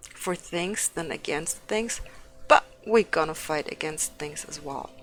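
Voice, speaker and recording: With music in the background, a woman speaks at a fairly slow pace in a fairly low pitch, her intonation lively and her loudness swinging widely. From Turkey. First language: not English; fluent in German. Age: 30s. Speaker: streamer and esports organization head. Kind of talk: casual livestream talk while painting. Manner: hesitant with many fillers.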